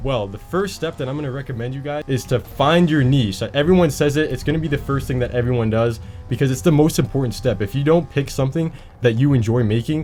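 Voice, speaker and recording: A man talks at a very fast pace. Music plays in the background. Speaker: YouTube creator. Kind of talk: casual tutorial while gaming.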